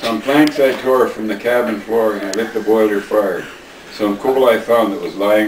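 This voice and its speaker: Noticeable background noise sits behind speech whose intonation holds fairly even. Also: man. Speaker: grandfather reading to family. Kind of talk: poetry reading. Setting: home recording, family at Christmas. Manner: expressive, dramatic.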